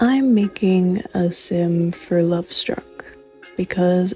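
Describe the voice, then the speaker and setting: Over background music, a soft-spoken woman talks at a very slow pace in a medium pitch with ordinary pitch variation. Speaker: gaming content creator. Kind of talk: casual gameplay commentary. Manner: soft-spoken, chill.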